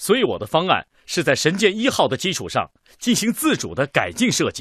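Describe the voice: In a put-on character voice, a man talks at a fairly quick pace, fairly high in pitch with very wide pitch swings, a fairly bright tone and a slightly husky edge, in a dry, close sound with no echo on a very clean recording with a silent background.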